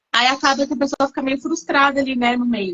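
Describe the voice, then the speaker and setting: A woman with a high-pitched voice speaks at a fairly quick pace. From Brazil. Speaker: English teacher. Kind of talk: live-stream interview.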